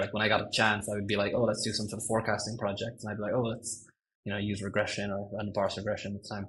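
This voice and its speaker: A man with an Irish accent speaks at a very fast pace in a fairly low, somewhat breathy voice with monotone, flat intonation. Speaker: senior ML engineer. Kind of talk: podcast interview. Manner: hesitant, many fillers.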